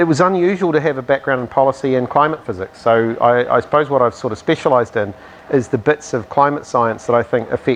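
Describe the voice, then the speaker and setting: Noticeable background noise runs under a man speaking with a New Zealand accent. He keeps a fairly quick pace with ordinary pitch variation. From New Zealand, Southland. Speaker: climate scientist, professor. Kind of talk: interview. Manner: hesitant, many fillers.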